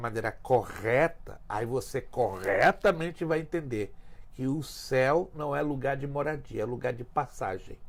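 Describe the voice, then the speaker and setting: At a fairly slow pace, a man talks with a fairly high pitch and ordinary pitch variation. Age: 60s. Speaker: pastor. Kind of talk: teaching talk in podcast interview. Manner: emphatic.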